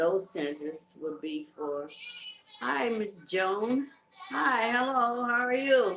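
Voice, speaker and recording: Noticeable background noise sits behind the recording. Over it, a woman speaks with lively intonation. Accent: Southern US. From Carolinas, US South. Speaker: live-stream host, music promoter. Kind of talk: casual live-stream chat. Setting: live video stream.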